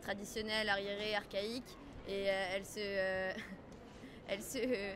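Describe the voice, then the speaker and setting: A woman speaks at a very slow pace in a monotone, flat intonation, with noticeable background noise and audible room echo. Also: medium pitch for a woman. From Lebanon. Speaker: passerby interviewed in street poll. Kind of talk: street interview. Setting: outdoors in a park.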